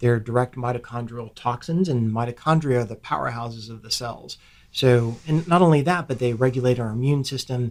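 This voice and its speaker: A man with an American accent and a plain, everyday voice, medium in pitch, at a moderate pace, on a very clean recording with a silent background. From Ohio, US Midwest. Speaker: physician assistant. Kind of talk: interview podcast conversation.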